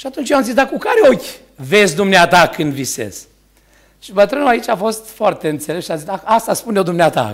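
Against a quiet background, a man talks in a high pitch with very wide pitch swings. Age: 60s. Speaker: preacher. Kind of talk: sermon. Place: church. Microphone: podium.

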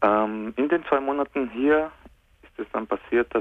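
Speaking at a moderate pace, a man varies his pitch in an ordinary way. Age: 30s. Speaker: caller. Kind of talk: phone-in call asking for advice. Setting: phone call.

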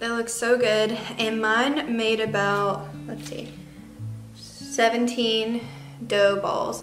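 Over faint background music, a woman speaks at a fairly high pitch with a fairly bright tone.

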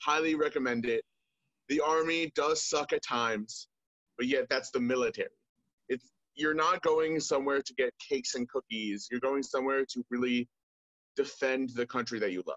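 A man with an American accent, fairly high-pitched, with ordinary pitch variation and a moderate pace, in a dry sound with no echo over a quiet background. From US, Maryland. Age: 20s. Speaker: soldier. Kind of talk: interview. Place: home room. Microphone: video call.

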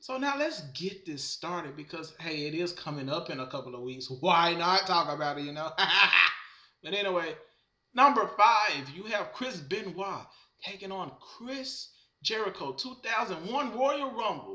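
The room echo is audible as a man speaks at a fairly slow pace, his loudness swinging widely against a quiet background. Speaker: wrestling fan vlogger. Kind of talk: casual vlog commentary. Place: home room. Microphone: webcam.

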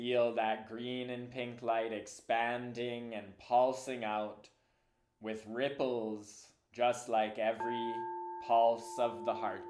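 Calm, soothing delivery from a man of medium pitch, very slow and fairly even in intonation. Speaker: meditation teacher. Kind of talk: guided meditation. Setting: online community call. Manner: slow, calm, soothing; gentle, unhurried, with long pauses.

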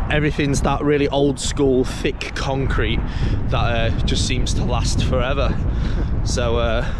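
A man talks at a fairly slow pace over loud background noise. The sound is dry with no echo. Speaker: parkour vlogger. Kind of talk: casual vlog chat. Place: open country. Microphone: phone near.

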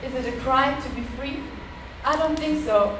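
A woman with a German accent speaks in a high voice with fairly even intonation over noticeable background noise. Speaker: poet. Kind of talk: poem performed. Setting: stage with audience. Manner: rhythmic, earnest spoken-word delivery with rhymed, emphatic lines.

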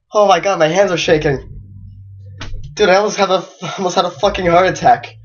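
A woman's voice with fairly even intonation, music playing in the background. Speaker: gamer. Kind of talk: casual gameplay commentary.

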